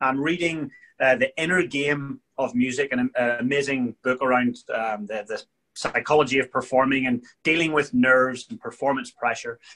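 A man with a Northern Irish accent talks at a fairly quick pace in a fairly high pitch, his bright, sharp tone carrying lively intonation against a quiet background. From Northern Ireland. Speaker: leadership coach and world champion drummer; leadership coach. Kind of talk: interview. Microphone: video call.

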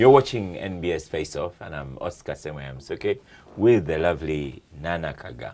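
A man with a very deep, low voice and vocal fry. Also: lively intonation, moderate pace, big swings in loudness. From Uganda. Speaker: TV talk show host. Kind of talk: TV interview. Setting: TV studio. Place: studio.

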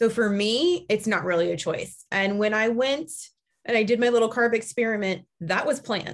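A woman speaks in an animated tone at a moderate pace. Her fairly high voice has ordinary pitch variation and very even loudness. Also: quiet background. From US Midwest. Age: 40s. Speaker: podcast host, keto coach. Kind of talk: casual chat. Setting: video call. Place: home room. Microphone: video call.

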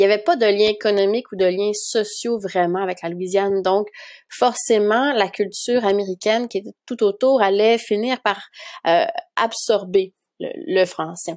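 A woman speaks in a Quebec accent. Her pace is fairly slow. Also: medium pitch for a woman, ordinary pitch variation. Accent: Québécois French. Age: 30s. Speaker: documentary filmmaker. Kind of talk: interview.

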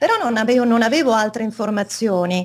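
A woman talks fairly quickly in a fairly high voice. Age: 50s. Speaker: interview guest. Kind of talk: interview. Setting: video call. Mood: calm, explanatory. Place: home room.

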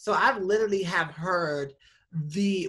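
Against a quiet background, a woman with a bright, sharp tone speaks at a very slow pace. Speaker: nonprofit director and activist. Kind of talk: casual chat. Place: home room. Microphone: video call.

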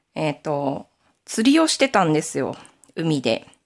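A woman talks at moderate speed as her pitch swings very widely. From Aomori, Nanbu region, Japan. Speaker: knitting YouTuber. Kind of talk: casual chat.

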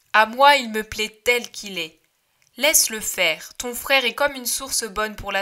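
Quiet background behind an unforced reading voice

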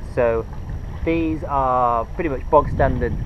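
Noticeable background noise sits under a dry sound with no echo. A man speaks at a moderate pace. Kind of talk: casual vlog tutorial. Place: boat.

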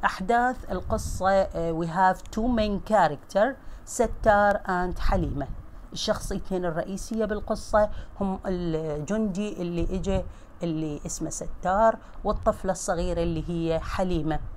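A woman with an Iraqi accent speaks at a fairly slow pace in a medium pitch with ordinary pitch variation. Room echo is audible. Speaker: English teacher. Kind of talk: lecture.

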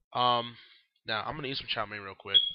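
At a fairly quick pace, the voice carries a clear, smooth tone and ordinary pitch variation. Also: man, medium pitch for a man.

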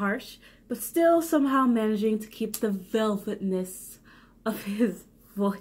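The speaker is doing plain reading aloud with ordinary pitch variation.

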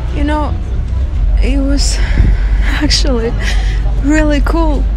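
A woman's voice sits very deep and low. The sound is dry with no echo, though background noise is noticeable. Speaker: actor auditioning. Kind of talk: dramatic audition monologue, performed as a character. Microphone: phone near.

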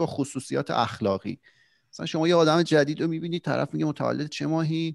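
Against a quiet background, a man with a normal speaking voice talks at a fairly quick pace, fairly high in pitch, the sound dry with no echo. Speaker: podcast co-host. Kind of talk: casual chat. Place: home room. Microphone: studio mic.

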